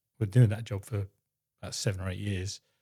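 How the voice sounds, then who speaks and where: A man speaks in a fairly low, dark, mellow voice that is somewhat breathy. The recording is very clean, with a silent background and a dry, close sound with no echo. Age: 60s. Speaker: husband of a woman in menopause. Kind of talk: interview. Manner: halting.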